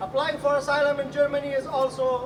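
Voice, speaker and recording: There is noticeable background noise behind speech delivered at a moderate pace. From Afghanistan. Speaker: asylum seeker speaker at public event. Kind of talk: public speech. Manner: halting.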